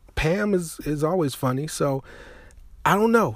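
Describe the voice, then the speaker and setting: Speaking at a moderate pace with an American accent, a man sounds animated and somewhat breathy, with lively intonation. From Chicago. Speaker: internet radio host. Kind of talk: casual monologue.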